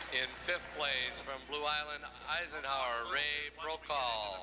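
Over noticeable background noise, a man speaks very slowly at a fairly high pitch with fairly even intonation. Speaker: award ceremony announcer. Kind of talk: reading out award placings at a ceremony. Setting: public address system in arena.

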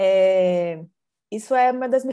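A woman's intonation is lively, and the background is quiet. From Brazil, Minas Gerais (Belo Horizonte); Minas Gerais, Brazil. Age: 40s. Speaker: art curator; interviewee. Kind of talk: interview. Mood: warm, animated. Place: home room. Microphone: earbuds.

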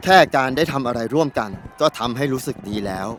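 A man speaks while music plays in the background. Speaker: voice actor, dubbing the documentary's interviewee. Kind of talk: documentary interview answer, dubbed.

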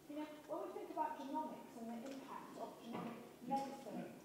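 Speaking at a fairly quick pace with ordinary pitch variation, a woman is heard in strong room echo with noticeable background noise. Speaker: conference keynote speaker. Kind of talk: conference talk. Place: hall.

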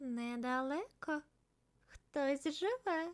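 Quiet and high-pitched, a woman speaks in a put-on character voice. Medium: read story. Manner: quiet, shy.

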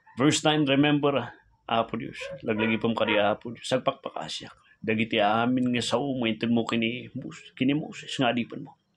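With an intense tone and ordinary pitch variation, a man speaks at a moderate pace over light background noise. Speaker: preacher. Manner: fervent, pleading, emotionally intense, with heartfelt petitions; earnest, rhythmic, repetitive invocations of 'Apo Diyos'. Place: home room. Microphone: phone near.

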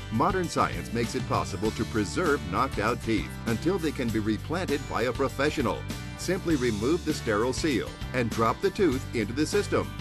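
With music playing in the background, a man speaks at a medium pitch and a fairly quick pace. His pitch swings very widely while his loudness stays very even. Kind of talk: TV commercial read.

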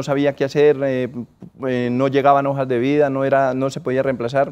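With a fairly high pitch, a man talks in a monotone, flat intonation. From Colombia, Norte de Santander. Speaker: business owner; interviewee. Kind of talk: interview. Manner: halting. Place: studio. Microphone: lapel.

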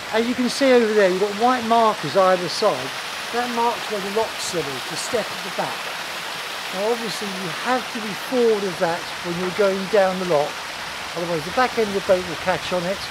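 A man talks at a moderate pace with long, frequent pauses. The sound is dry with no echo, set against loud background noise. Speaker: boating instructor. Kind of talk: tutorial. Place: waterside. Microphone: phone near.

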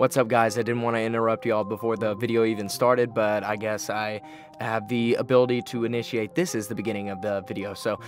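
A man talks at a very fast pace, the sound dry with no echo and clear music playing in the background. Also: fairly even intonation. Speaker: vlogger. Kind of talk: casual vlog chat. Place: studio. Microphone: studio mic.

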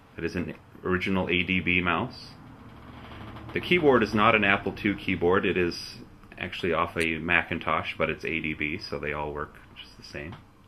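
With light background noise behind him, a man talks at a moderate pace in a very deep, low pitch, with ordinary pitch variation. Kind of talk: casual tour narration. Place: home room. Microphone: old recording.

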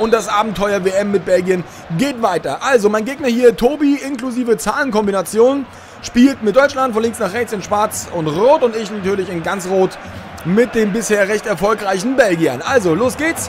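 With noticeable background noise behind him, a man talks at a moderate pace in a high pitch with ordinary pitch variation. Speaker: video game streamer. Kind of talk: live-style sports commentary over FIFA gameplay highlights. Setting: recorded voiceover over game footage. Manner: casual, friendly, chatty address to viewers.

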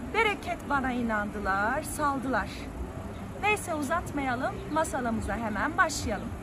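Over noticeable background noise, a woman speaks in a raised, projected voice at a fairly slow pace. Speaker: English teacher telling a folk tale. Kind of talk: storytelling. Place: waterside. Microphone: phone near.

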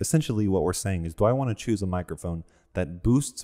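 Speaking at a fairly quick pace, a man with a dark, mellow tone shows ordinary pitch variation in a very clean recording with a silent background.

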